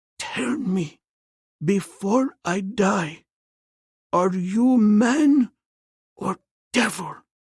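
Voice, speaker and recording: Doing a put-on character voice, a man speaks shakily at a high pitch and a very slow pace, with long, frequent pauses. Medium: read story.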